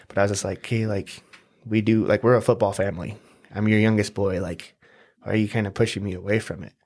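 A man with an ordinary speaking voice talks at a fairly quick pace in a fairly low pitch. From southern Utah (St. George), early years in Hawaii. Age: young. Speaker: entrepreneur. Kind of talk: casual interview.

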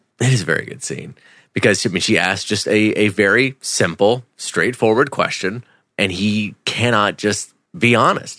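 Bright and sharp in tone, a man with a fairly low pitch speaks at a moderate pace with ordinary pitch variation. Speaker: podcast co-host. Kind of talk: casual chat.

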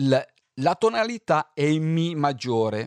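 A man is heard on a very clean recording with a silent background, dry and close with no echo. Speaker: radio host. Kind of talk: radio music show. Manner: calm.

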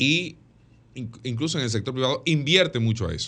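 A man's bright, sharp tone comes through at a fairly quick pace. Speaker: radio panelist, political commentator. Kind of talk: political commentary.

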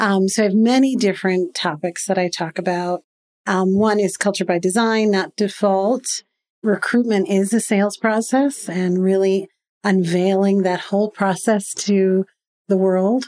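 A normal speaking voice at a fairly slow pace, with fairly even intonation and very even loudness. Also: woman, medium pitch for a woman. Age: 50s. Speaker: business founder and CEO. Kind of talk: interview.

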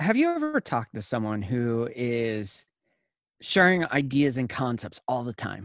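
In an ordinary speaking voice, a man at medium pitch talks at a fairly slow pace with ordinary pitch variation, the sound dry and close with no echo on a very clean recording with a silent background. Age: 30s. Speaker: innovation consultant and former church worker. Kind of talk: interview.

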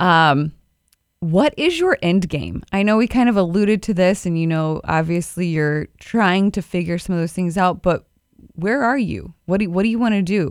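This woman has an unremarkable speaking voice of medium pitch, with ordinary pitch variation at a moderate pace. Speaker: podcast co-host and practice manager. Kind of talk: casual interview.

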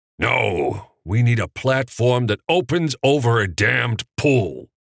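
A growling, put-on character voice speaks in an angry tone at a fairly slow pace with lively intonation and very even loudness. The sound is dry and close, with no echo. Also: man, medium pitch for a man. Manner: growling, angry.

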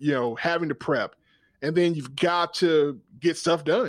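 A man with an American accent uses a normal speaking voice at a fairly high pitch and moderate pace, with a quiet background. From US South, South Georgia. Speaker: podcast host and cooking channel creator. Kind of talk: casual interview conversation.

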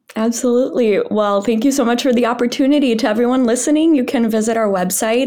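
Audible room echo and noticeable background noise surround a woman speaking at a fairly high pitch with ordinary pitch variation. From Brazil, raised in northern Wisconsin. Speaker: nonprofit founder, disinformation researcher. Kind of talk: podcast interview.

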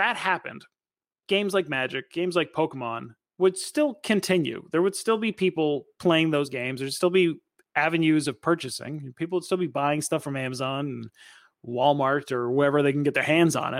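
A man with a normal speaking voice talks fairly quickly at a fairly high pitch, with ordinary pitch variation. The recording is very clean, with a silent background. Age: 30s. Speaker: podcast host. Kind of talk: solo podcast commentary.

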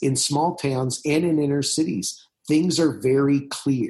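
A normal speaking voice, fairly high in pitch with ordinary pitch variation, comes from a man with an American accent. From US Midwest, southern Indiana. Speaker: pastor. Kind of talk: interview conversation.

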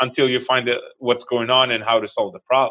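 A man speaks with an Israeli accent. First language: Hebrew. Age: 40s. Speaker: real estate investor. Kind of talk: interview.

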